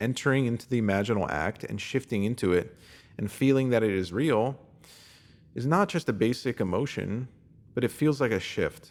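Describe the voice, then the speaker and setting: A man's normal speaking voice at medium pitch, with lively intonation and a moderate pace; a normal speaking voice. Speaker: reader of written posts. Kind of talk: self-help text reading.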